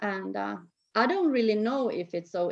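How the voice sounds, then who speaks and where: A woman with a Finnish accent talks at a fairly quick pace in a medium pitch. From Finland, Tampere. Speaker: snowboard program organizer. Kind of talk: interview conversation. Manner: halting.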